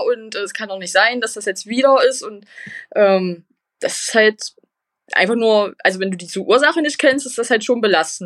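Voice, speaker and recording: This woman has a normal speaking voice, fairly high in pitch, with ordinary pitch variation and a fairly quick pace. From eastern Germany, Magdeburg. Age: 20s. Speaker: patient sharing her illness story. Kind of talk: interview.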